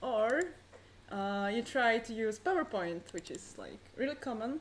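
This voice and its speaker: With an ordinary speaking voice, a woman talks at a fairly slow pace and a fairly high pitch, her intonation lively and her loudness swinging widely. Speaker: conference presenter. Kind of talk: conference talk.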